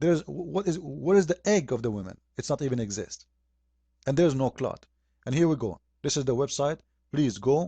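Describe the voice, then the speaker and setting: With an Arabic accent, a man speaks at a fairly high pitch and a fairly quick pace, his intonation lively and his pauses long and frequent. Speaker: religious critic. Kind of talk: polemical video commentary. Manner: animated.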